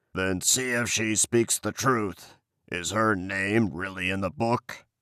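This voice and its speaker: A man's put-on character voice, growling and raspy, fairly low in pitch, at a fairly slow pace. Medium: read story. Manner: slow, growling.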